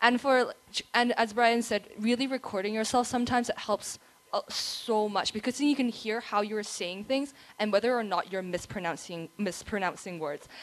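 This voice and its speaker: A woman talks at a moderate pace. Her pitch is fairly high, with ordinary variation. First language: not English. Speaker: past contest winner. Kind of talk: panel advice.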